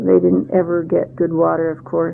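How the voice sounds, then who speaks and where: A woman with an American accent, amid noticeable background noise. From Central Oregon, US. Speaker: oral history interviewee. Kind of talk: oral history interview. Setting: interview at her home. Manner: halting, with many fillers.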